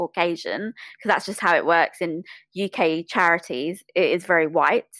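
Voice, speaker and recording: A woman speaks in a British accent at medium pitch with ordinary pitch variation. The recording is very clean, with a silent background and a dry, close sound with no echo. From England (British Bangladeshi). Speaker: podcaster. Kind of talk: interview conversation.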